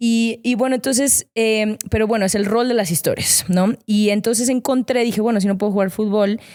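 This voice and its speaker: A woman speaks at a moderate pace with a Mexican accent, her fairly high voice holding very even loudness and fairly even intonation with hardly any pauses. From Mexico, León, Guanajuato. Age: 30s. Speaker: former athlete and digital strategist. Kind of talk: interview conversation. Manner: hesitant, many fillers.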